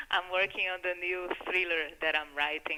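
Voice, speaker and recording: In a Brazilian accent, a woman speaks at a moderate pace with monotone, flat intonation. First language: Portuguese. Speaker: filmmaker. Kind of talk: radio interview.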